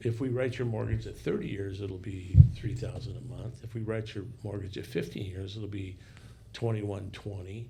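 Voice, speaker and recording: This man's fairly low voice has vocal fry and a dark, mellow tone, with fairly even intonation at a moderate pace. Room echo is audible. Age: 60s. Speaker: podcast guest. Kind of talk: casual discussion.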